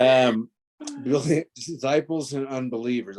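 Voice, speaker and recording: The voice is a put-on character, strained and fairly slow. Its intonation stays fairly even. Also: man, medium pitch for a man. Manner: restrained, holding back laughter; serious, stoic.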